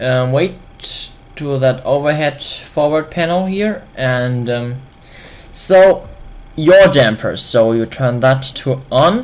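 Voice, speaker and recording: Spoken at a very slow pace with long, frequent pauses, this voice carries a German accent. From Germany. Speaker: flight simulator video creator. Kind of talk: tutorial. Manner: halting.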